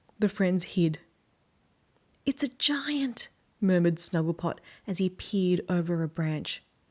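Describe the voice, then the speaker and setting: Speaking at a very slow pace, a woman with a fairly low pitch uses lively intonation. The recording is very clean, with a silent background. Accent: Australian. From Australia. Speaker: children's book reader. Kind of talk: reading aloud.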